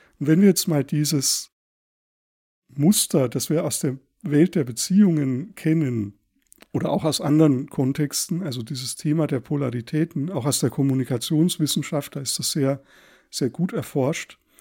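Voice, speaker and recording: This man has a fairly high pitch and a dark, mellow tone, talking at a moderate pace with ordinary pitch variation on a very clean recording with a silent background. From Thuringia, eastern Germany. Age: 40s. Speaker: psychologist podcast host. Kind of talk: solo podcast monologue. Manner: halting, frequent word repetitions.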